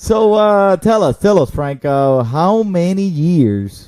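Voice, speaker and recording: A man speaks with a Spanish accent. His tone is dark and mellow. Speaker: podcast host. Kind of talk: casual chat. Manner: animated.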